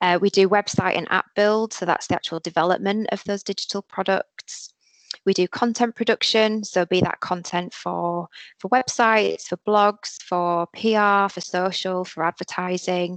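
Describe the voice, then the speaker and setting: A woman with a Yorkshire accent speaks at a medium pitch and a moderate pace, with fairly even intonation. The sound is dry and close with no echo, and the background is quiet. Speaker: digital marketing agency professional. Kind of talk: careers webinar presentation. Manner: casual with frequent fillers.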